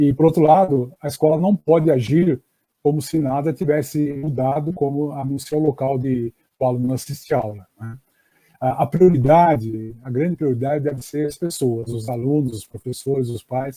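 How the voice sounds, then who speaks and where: Speaking at a moderate pace, a man with a fairly high pitch, ordinary pitch variation, a somewhat breathy quality, and a dark, mellow tone is heard. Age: 60s. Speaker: education professor. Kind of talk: lecture. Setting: online live stream. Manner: halting, many fillers.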